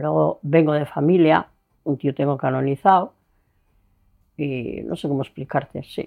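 A woman speaks fairly slowly with a very deep, low pitch and vocal fry. Her speech has long, frequent pauses. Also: fairly even intonation. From Spain, Burgos province (Castile). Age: 80s+. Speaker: local resident interviewee. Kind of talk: interview.

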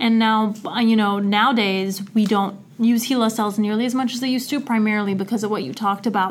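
Noticeable background noise accompanies speech whose intonation is fairly even. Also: woman. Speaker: graduate student podcast co-host. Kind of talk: casual chat and interview.

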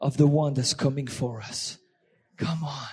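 With a French accent, a man is talking. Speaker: visiting guest speaker. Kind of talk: sermon. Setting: church. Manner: animated.

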